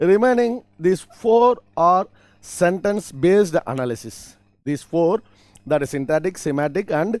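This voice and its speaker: Speaking with a Tamil accent at a fairly slow pace, a man uses a high pitch and lively intonation. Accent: Tamil-accented Indian English. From Tamil Nadu, India. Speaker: college lecturer. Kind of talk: lecture. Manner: halting, with repetitions and self-corrections.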